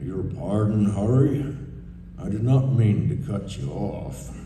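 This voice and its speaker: A woman puts on a rumbling character voice with a very deep, low pitch, at a fairly slow pace, with clear echo and clear background noise. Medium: stage play. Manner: calm, soft-spoken authority.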